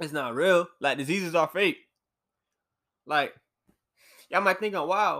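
The man's tone is animated, his pitch high and its variation ordinary. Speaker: podcast host.

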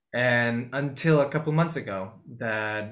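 A man speaks with a Spanish accent and ordinary pitch variation. The room echo is audible. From Peru, Lima. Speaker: actor. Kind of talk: interview. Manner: halting, many repetitions.

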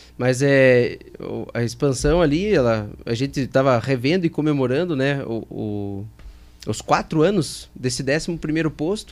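This man has a plain, everyday voice, pitched fairly high. He speaks at a fairly slow pace with ordinary pitch variation. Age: 20s. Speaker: fuel station chain operations director. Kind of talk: casual interview.

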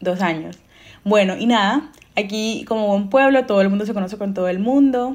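Her pitch is medium, and it rises and falls in an ordinary way. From Colombia, Caribbean coast (Montelíbano). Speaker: podcast co-host. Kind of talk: casual chat. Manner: fast; loud.

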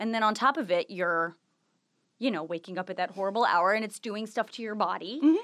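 With a Californian accent, a woman talks at a very fast pace with lively intonation. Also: medium pitch for a woman, quiet background. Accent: General American, Californian. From US West Coast, Los Angeles. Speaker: former TV news anchor, business owner. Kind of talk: casual interview.

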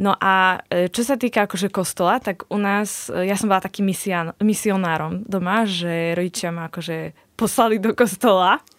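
A woman speaks at a moderate pace and medium pitch with ordinary pitch variation and hardly any pauses, in a very clean, dry, close recording with a silent background and no echo. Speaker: nun. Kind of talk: casual interview. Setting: studio.

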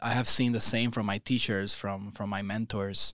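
In a very clean recording with a silent background, a man with a Spanish accent talks in a fairly low, monotone, flat voice. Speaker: yoga teacher trainer. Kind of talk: casual interview. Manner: hesitant, with many fillers.

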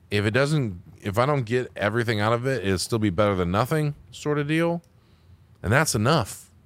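A man's normal speaking voice, medium in pitch, at a moderate pace, with lively intonation and very even loudness, on a very clean recording with a silent background. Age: 30s. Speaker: podcast host. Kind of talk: casual chat.

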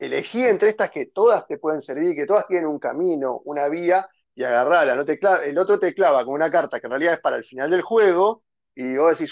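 Very fast speech comes from a man with a high pitch and ordinary pitch variation. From Argentina, San Fernando (Buenos Aires). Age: 30s. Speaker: board game enthusiast. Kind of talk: casual chat.

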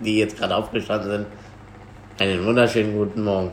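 Someone talks very fast. The room echo is audible, and the background noise is noticeable. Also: man. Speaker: podcast host. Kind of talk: casual chat.

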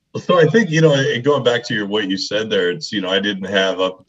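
An unremarkable speaking voice with an American accent moves at a fairly quick pace. The intonation is lively. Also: man. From Colorado, US. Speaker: podcast host and coach. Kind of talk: interview conversation.

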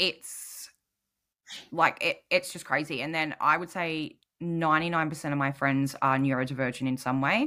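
A woman speaks at a moderate pace in a very deep, low voice with a bright, sharp tone. Her intonation is fairly even, and the recording is very clean with a silent background. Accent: Australian. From New South Wales, Australia. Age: 30s. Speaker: podcast guest, single mother with ADHD. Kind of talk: casual interview chat.

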